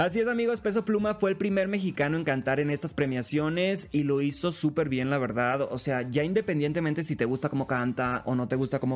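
Fairly high pitch from a man, at a fairly quick pace with lively intonation. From Sinaloa, Mexico (Los Mochis). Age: young. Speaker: radio host. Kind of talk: casual chat. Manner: animated.

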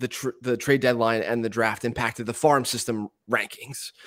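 A man with an American accent, medium pitch and moderate pace, an ordinary speaking voice. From Eastern Pennsylvania. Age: 30s. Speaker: baseball prospect analyst. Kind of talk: casual interview.

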